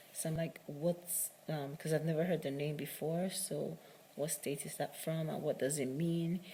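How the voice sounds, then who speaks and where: A woman speaks at a moderate pace in a very deep, low pitch, her voice somewhat breathy with a dark, mellow tone. Her intonation stays monotone and flat. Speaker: matchmaker and video diarist. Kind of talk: casual video diary monologue.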